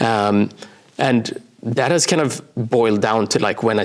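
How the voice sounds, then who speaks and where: Someone with a Swedish accent talks at a moderate pace with ordinary pitch variation over noticeable background noise. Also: man. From Sweden, small coastal town. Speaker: brand designer and author. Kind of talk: interview. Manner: hesitant, many fillers.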